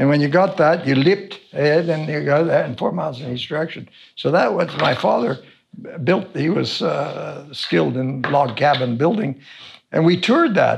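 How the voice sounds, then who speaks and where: Vocal fry runs through a man's fairly high-pitched voice. He keeps a moderate pace with ordinary pitch variation. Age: 70s. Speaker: wilderness survival instructor. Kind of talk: interview. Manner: halting.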